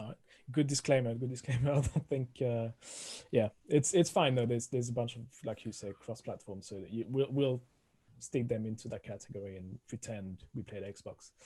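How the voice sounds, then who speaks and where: Speaking fairly quickly with a strong French accent, a man with a medium pitch and a dark, mellow tone sounds somewhat breathy, his loudness swinging widely while his pitch varies in an ordinary way. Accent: thick French. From France. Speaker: podcast co-host. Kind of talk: casual chat.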